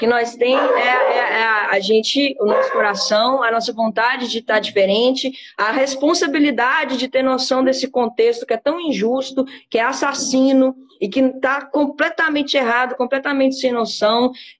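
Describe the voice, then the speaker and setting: Over noticeable background noise, a woman with a high pitch talks at a moderate pace, her loudness very even and her intonation fairly even. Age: 20s. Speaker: cannabis activist. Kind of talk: interview.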